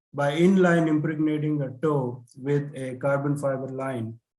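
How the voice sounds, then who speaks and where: Fairly slow speech from a man, with room echo clearly heard. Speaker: conference presenter. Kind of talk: conference presentation. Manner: hesitant, many fillers.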